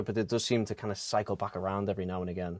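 A man with an American accent on a very clean recording, silent background, with a dry, close sound and no echo. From England, Liverpool. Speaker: podcaster. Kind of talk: casual chat.

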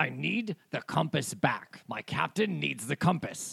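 A man uses a put-on character voice, speaking at a fairly slow pace. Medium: actual play. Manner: blunt, threatening.

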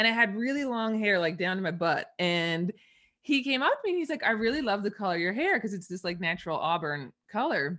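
Her fairly high-pitched voice has a bright, sharp tone and very wide pitch swings, with a slight Canadian accent. The woman moves at a fairly quick pace against a quiet background. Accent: Canadian English, mild. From Eastern Canada. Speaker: money mindset coach. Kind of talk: casual interview.

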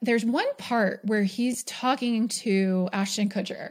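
A somewhat breathy woman with an American accent at a very slow pace with fairly even intonation, on a very clean recording with a silent background. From New York. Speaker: podcast host and business coach. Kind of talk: solo podcast monologue. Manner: casual, filler-heavy with frequent laughs.

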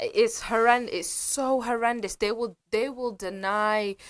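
In a British accent, a woman speaks with an animated tone and ordinary pitch variation. The recording is very clean, with a silent background. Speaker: commentator on history and politics. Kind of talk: casual radio chat. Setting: radio studio.

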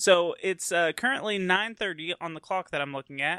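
A man with an American accent speaks at a high pitch in a bright, sharp tone, the sound dry and close with no echo and the background quiet. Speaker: podcast host. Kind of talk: casual chat.

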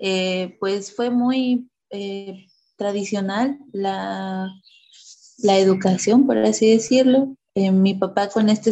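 This is a woman speaking. Her intonation is fairly even. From Oaxaca, Mexico. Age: 30s. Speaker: mother sharing birth story. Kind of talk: interview, personal testimony. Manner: halting, many repetitions and fillers.

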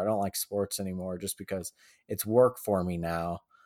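The recording is very clean, with a silent background and a dry, close sound with no echo. A man with an American accent speaks at a fairly quick pace with ordinary pitch variation in a plain, everyday voice. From Colorado (Boulder). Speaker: journalist. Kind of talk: casual chat.

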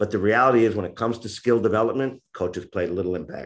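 Very fast speech from a man with an American accent and a fairly low pitch, over a quiet background. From US Northeast, New York. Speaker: author and youth football coach. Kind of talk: casual interview chat. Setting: remote call from Japan. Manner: animated, talkative.

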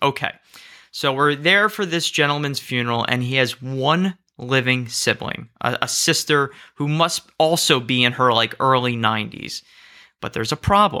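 A man with an American accent, a bright, sharp tone and a medium pitch at a moderate pace, on a very clean recording with a silent background. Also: ordinary pitch variation. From US, southern New Jersey. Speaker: rabbi. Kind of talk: interview conversation.

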